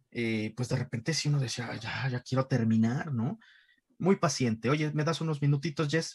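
There is a somewhat breathy quality to this man's voice. He talks at a fairly high pitch. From Mexico City (Iztapalapa). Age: 40s. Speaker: voice actor and dubbing director. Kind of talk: casual interview.

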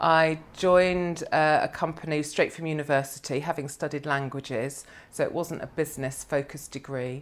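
A woman's very deep, low voice at a moderate pace, with hardly any pauses, in a very clean recording over a silent background. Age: 50s. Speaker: financial planner. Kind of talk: casual chat. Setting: office.

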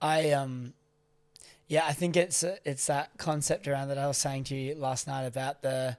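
In a very clean recording with a silent background, a man with a fairly high pitch talks at a fairly slow pace with fairly even intonation. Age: 20s. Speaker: podcast co-host. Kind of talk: casual chat.

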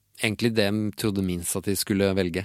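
In a very clean recording with a silent background, a man uses a plain, everyday voice at a fairly low pitch with fairly even intonation. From Oslo, Norway (Tåsen). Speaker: illustrator and cartoonist. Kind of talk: casual interview chat.

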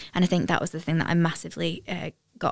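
Very fast and monotone, a woman with a fairly low pitch speaks with flat intonation and vocal fry. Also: very clean recording, silent background. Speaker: podcast host.

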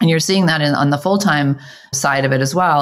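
A woman speaks in a very deep, low voice with an American accent. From Colorado. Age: 50s. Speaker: business founder and executive. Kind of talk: interview.

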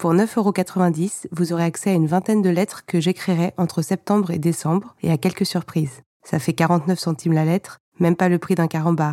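A woman with a dark, mellow tone speaks at a moderate pace with fairly even intonation. Her loudness is very even, and the sound is dry and close with no echo. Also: fairly low pitch for a woman. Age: 30s. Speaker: author and school librarian. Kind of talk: podcast trailer, subscription pitch.

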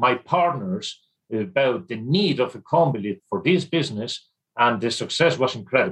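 With a slight Irish accent, a man talks in a medium-pitched voice with lively intonation. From Spain, Irish mother. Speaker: sales manager for a forklift company. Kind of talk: interview.

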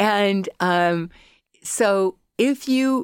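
A woman with an American accent speaks at a medium pitch with lively intonation. The recording is very clean and dry, close with no echo, over a silent background. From US, Colorado. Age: 60s. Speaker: artist and academic. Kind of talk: casual interview.

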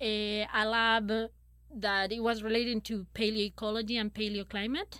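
At a moderate pace, a woman with a Spanish accent speaks at a fairly high pitch. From Chile. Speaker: paleoecologist. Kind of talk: interview.

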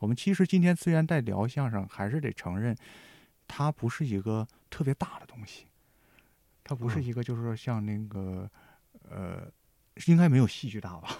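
With a dry, close sound and no echo, a man speaks in a dark, mellow tone, with big swings in loudness and long, frequent pauses. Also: medium pitch for a man, lively intonation, moderate pace, very clean recording, silent background. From Heilongjiang, northeast China. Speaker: writer. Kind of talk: casual chat.

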